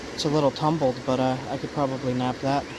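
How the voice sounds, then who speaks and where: A man with an American accent speaks at a fairly high pitch and a fairly quick pace. His intonation is monotone and flat, with noticeable background noise behind him. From Long Island, New York. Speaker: outdoors vlogger and flint knapper. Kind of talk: casual outdoor vlog narration. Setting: outdoors by a creek.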